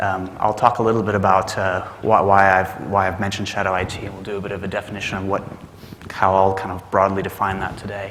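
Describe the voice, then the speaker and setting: A man with an American accent talks at a very fast pace and a fairly low pitch. Noticeable background noise and audible room echo are present. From Texas, Dallas. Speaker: management consultant. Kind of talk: conference talk. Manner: hesitant with many fillers.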